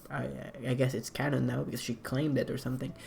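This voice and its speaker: A man speaks with a non-native accent. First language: not English. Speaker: artist explaining own animation project. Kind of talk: casual commentary walkthrough. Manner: halting, many fillers.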